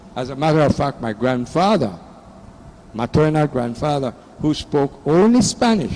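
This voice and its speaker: Noticeable background noise accompanies talking delivered at a moderate pace. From Belize. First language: Belizean Creole. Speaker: audience member. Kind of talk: public Q&A comment.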